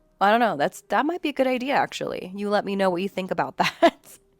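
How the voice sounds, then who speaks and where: Against music in the background, a woman speaks in an animated tone with very wide pitch swings and a dry, close sound with no echo. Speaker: podcast host. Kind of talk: casual solo podcast chat.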